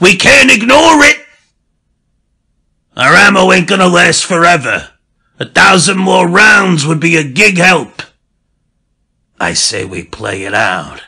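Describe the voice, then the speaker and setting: In a put-on character voice, a man speaks raspy and high-pitched, raised and projected, at a fairly slow pace broken by long, frequent pauses. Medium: read story. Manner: gruff, bossy.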